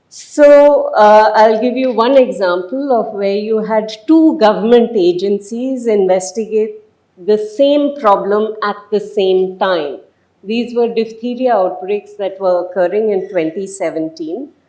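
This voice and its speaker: At a fairly slow pace, a woman speaks with a dark, mellow tone and fairly high pitch, her pitch variation ordinary, in a room with audible echo. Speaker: professor. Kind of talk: lecture. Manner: loud.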